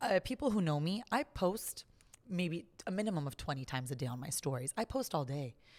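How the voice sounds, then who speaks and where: A woman with a Californian accent at fairly low pitch, fairly quick in pace, with very wide pitch swings. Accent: American, California. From US West Coast, Los Angeles. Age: 30s. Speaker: podcast host. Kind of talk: casual chat.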